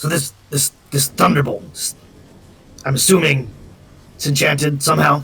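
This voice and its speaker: This is a put-on character voice with a raspy edge, delivered at a moderate pace. Long, frequent pauses break up the speech. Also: man, fairly high pitch for a man. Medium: actual play. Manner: brusque, impatient.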